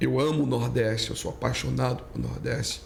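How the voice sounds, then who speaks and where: Man with a northeastern Brazilian accent, audible room echo, and noticeable background noise. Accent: northeastern Brazilian, kept. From Brazilian Northeast (Pernambuco). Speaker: pastor. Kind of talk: casual chat.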